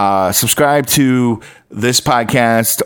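Using a normal speaking voice, a man talks at a medium pitch with ordinary pitch variation. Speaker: podcast host and radio DJ. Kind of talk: podcast intro explaining a replayed radio air check. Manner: casual, chatty, storytelling.

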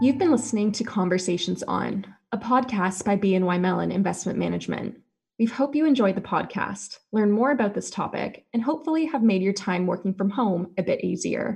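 A woman talks at a fairly quick pace and medium pitch. Her intonation is lively, and vocal fry creeps into her voice. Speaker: podcast announcer. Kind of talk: scripted narration.

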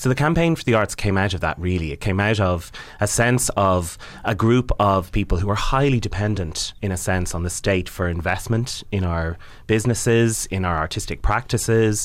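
A man with a fairly low voice and an Irish accent speaks at a moderate pace with ordinary pitch variation. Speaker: arts campaigner and theatre director. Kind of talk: interview.

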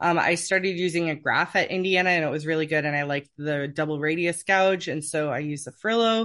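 In an American accent, a woman with an ordinary speaking voice talks at a fairly quick pace with hardly any pauses, her fairly low pitch showing ordinary pitch variation over a quiet background. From US Pacific Northwest, Seattle. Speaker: oboe professor and orchestral English horn player. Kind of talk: interview, casual chat.

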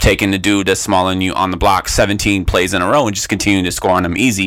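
A man with an American accent, a very deep, low pitch and a very fast pace. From US West Coast. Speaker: podcast co-host. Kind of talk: casual chat. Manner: animated.

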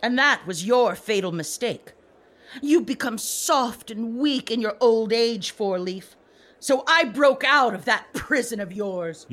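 A female-sounding voice performs a put-on character voice at a fairly slow pace. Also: fairly high pitch for a woman. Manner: gloating, contemptuous.

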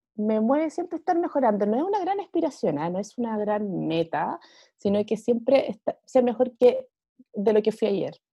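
A woman with a Chilean accent speaks at a moderate pace. Her fairly high pitch moves in very wide swings. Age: 40s. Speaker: amateur triathlete. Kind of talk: casual interview.

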